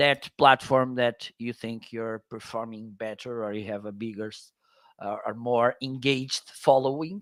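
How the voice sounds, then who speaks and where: A man with a Portuguese accent speaks at a fairly slow pace in a medium pitch and fairly even intonation. His loudness swings widely, and the sound is dry and close with no echo. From northern Portugal. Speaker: Amazon content creator. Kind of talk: interview chat. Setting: live stream.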